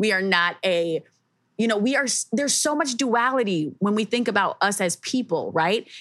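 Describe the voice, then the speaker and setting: Lively intonation and very even loudness mark a woman's unremarkable speaking voice at a fairly high pitch. She talks at a moderate pace. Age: 30s. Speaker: podcast host. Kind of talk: casual chat.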